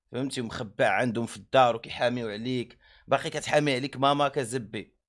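A man at medium pitch and moderate pace, with fairly even intonation and a quiet background. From Morocco. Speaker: streamer. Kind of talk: angry rant. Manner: heated; repetitive. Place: home room. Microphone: studio mic.

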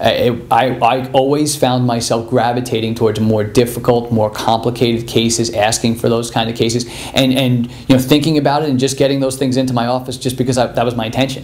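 A man speaks at a fairly quick pace with hardly any pauses. His intonation is monotone and flat. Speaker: chiropractor giving testimonial. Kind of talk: interview answer.

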